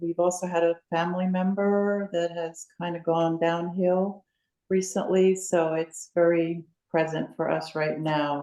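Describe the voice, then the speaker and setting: A woman speaks at a fairly slow pace in a fairly low voice with a dark, mellow tone. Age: 70s. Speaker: retiree. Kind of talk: casual chat. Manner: halting.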